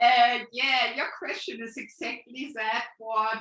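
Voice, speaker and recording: A woman with a German accent talks at a fairly high pitch in a bright, sharp tone. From Germany. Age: 60s. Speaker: spiritual healer and coach. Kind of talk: interview answer.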